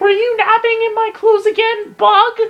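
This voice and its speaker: A man puts on a squeaky character voice at an extremely high pitch. His intonation stays monotone and flat at a moderate pace. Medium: game stream. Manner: cocky.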